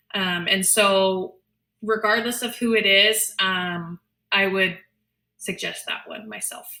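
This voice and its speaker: A woman speaks very slowly in a medium-pitched voice with a bright, sharp tone. Her intonation is fairly even while her loudness swings widely. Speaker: special education advocate. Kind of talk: webinar presentation. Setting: online webinar. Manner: many filler ums.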